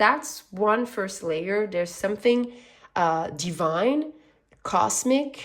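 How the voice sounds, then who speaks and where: Speaking very slowly with a slight French accent, a woman uses a medium pitch with very wide pitch swings. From French-speaking background. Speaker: tarot reader. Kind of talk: tarot reading. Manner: animated.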